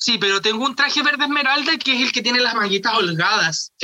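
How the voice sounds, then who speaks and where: A man with a Chilean accent, talking at a very fast pace in a raised, projected voice with lively intonation. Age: 30s. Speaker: drag artist and comedian. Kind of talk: casual interview. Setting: video call.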